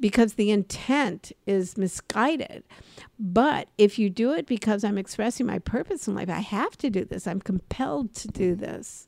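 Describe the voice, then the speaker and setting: A woman with an American accent has a plain, everyday voice at a medium pitch with ordinary pitch variation. The sound is dry and close, with no echo. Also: moderate pace. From Los Angeles, US. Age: 60s. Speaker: podcast host, comedy and career coach. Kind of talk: casual chat.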